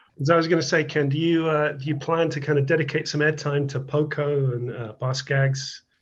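A man's fairly high, somewhat breathy voice at a fairly quick pace, monotone and flat in intonation, with hardly any pauses. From UK. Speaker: listener interviewer. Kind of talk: casual interview.

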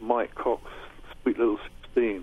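A man with a southern English accent. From England, Uxbridge, Middlesex. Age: 60s. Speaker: session guitarist. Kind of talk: interview. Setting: radio studio.

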